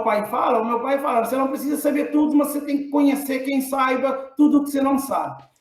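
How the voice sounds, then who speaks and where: A man's extremely high-pitched voice, monotone and flat, at a fairly quick pace with audible room echo. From Cape Verde. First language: Cape Verdean Creole (speaking Portuguese). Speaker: engineering professor. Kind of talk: casual chat.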